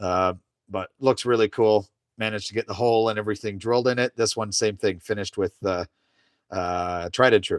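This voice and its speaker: With a Canadian accent, a man speaks at a fairly quick pace and fairly low pitch in a relaxed tone with fairly even intonation, the sound dry and close with no echo on a very clean recording with a silent background. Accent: Canadian, noticed by viewers. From Canada, Ontario. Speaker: woodworker streaming live. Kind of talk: casual live stream chat while woodturning. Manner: relaxed, halting with fillers.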